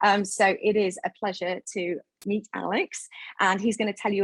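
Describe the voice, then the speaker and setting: Somewhat breathy and medium-pitched, a woman speaks with fairly even intonation in a dry, close sound with no echo and a quiet background. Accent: British. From United Kingdom. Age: 40s. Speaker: event host and filmmaker. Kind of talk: event hosting introduction. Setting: live online event with green screen.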